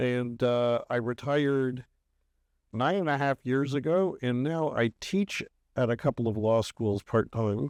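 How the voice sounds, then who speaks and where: A man talks at a fairly slow pace and medium pitch, with very even loudness, in a plain, everyday voice. The sound is dry and close with no echo over a quiet background. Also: ordinary pitch variation. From Canada, Toronto. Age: 60s. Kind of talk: podcast interview.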